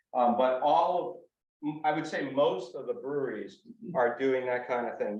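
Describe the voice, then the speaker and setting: Fairly high in pitch, a man talks with an American accent and ordinary pitch variation. Audible room echo surrounds his voice. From Western Massachusetts (from New Jersey). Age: 60s. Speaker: author and hiker. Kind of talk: audience Q&A. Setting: library talk with audience. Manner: casual, hesitant with fillers.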